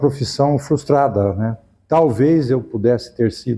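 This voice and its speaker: Dark, mellow male voice with ordinary pitch variation. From Brazil, Araraquara, São Paulo state. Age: 70s. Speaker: university professor, former rector. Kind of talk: interview.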